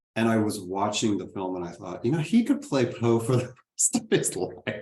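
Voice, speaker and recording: A somewhat breathy man at a fairly low pitch and a moderate pace. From Texas. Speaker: moderator. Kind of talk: panel discussion.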